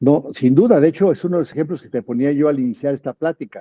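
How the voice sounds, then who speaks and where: Speaking at a fairly quick pace, a man with an unremarkable speaking voice has a fairly high pitch and ordinary pitch variation. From Mexico. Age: 60s. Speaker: politician and physician. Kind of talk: interview.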